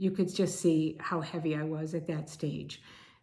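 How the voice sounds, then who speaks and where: A woman with an American accent and a dark, mellow tone speaks at a fairly slow pace amid audible room echo. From Connecticut, US. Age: 60s. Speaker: video blogger. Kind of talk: personal testimony.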